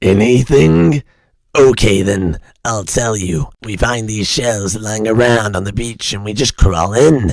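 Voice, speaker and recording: A man's put-on character voice, raspy and menacing, fairly low in pitch, at a fairly slow pace. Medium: audio drama. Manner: gruff, menacing.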